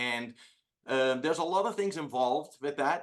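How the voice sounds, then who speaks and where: With a Dutch accent and ordinary pitch variation, the speaker moves at a fairly quick pace against a quiet background. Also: man. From Netherlands. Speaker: entrepreneur. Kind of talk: casual chat. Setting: video call.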